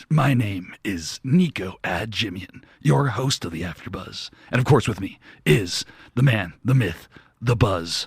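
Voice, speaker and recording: Using a put-on character voice, a man sounds gruff and fairly low-pitched, with lively intonation at a fairly slow pace. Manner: deep, put-on, comedic.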